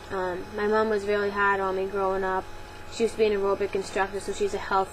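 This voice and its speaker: A woman speaks very fast with a Boston accent. Her intonation is flat and monotone. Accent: Boston accent, non-rhotic. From Boston, Massachusetts. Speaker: vlogger. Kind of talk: Q&A vlog. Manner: casual, many fillers.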